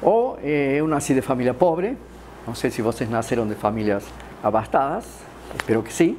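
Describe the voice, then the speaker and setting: Over light background noise, a man talks in an Argentine accent. His pace is moderate. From Argentina, Córdoba. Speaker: philosopher. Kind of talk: lecture. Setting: stage with audience. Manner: gets louder as he gets animated; halting, many fillers. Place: classroom.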